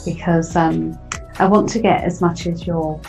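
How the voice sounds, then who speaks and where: The voice carries a warm, enthusiastic tone at a fairly slow pace. Music plays in the background. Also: woman. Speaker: radio show host. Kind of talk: interview host talk.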